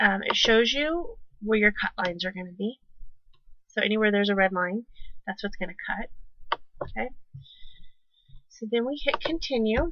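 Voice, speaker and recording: Mumbling at a moderate pace, a woman with a fairly high pitch and a bright, sharp tone uses lively intonation and takes long, frequent pauses. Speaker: crafting tutorial youtuber. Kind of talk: tutorial. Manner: mumbles to herself; casual, conversational.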